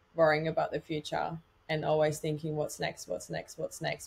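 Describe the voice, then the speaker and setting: A woman talks at a fairly quick pace. She has an Australian accent. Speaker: personal trainer and podcast host; personal trainer, podcast host. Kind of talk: podcast interview. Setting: video call. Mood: warm, upbeat. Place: home room. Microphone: webcam.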